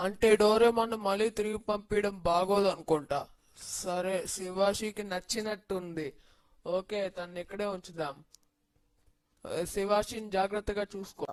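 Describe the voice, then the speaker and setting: The speaker uses a put-on character voice at middle pitch. The pace is fairly slow. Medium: fan dub. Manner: lively, announcer-like.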